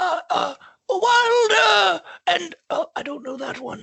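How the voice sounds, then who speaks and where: A put-on character voice is pitched high. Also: fairly slow pace. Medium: actual play. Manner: stammering, hesitant.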